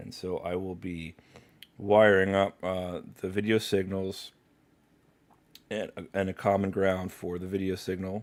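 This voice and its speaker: A man with a very deep, low pitch speaks in a flat monotone at a fairly slow pace, with long, frequent pauses and big swings in loudness. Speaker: livestreamer doing electronics repair. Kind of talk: live stream tutorial. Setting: live stream at workbench.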